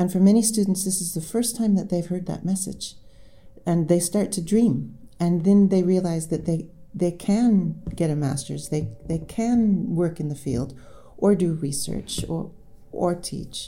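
With an American accent, a woman talks at a fairly slow pace in a fairly low pitch, her dark, mellow tone carrying vocal fry and ordinary pitch variation. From United States. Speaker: professor and author. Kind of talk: interview.

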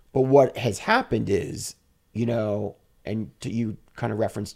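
A man's medium-pitched voice with vocal fry and ordinary pitch variation. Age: 50s. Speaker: fashion influencer and model. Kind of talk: casual interview.

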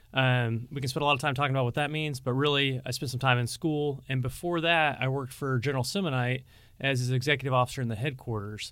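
A very fast pace with fairly even intonation. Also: man. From Pacific Northwest, Washington state. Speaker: military district commander. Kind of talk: interview conversation, informational. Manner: fast talker.

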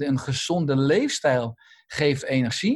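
This man's voice is somewhat breathy, and his intonation is lively. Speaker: doctor and lifestyle author. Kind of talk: interview. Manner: halting, many repeated words.

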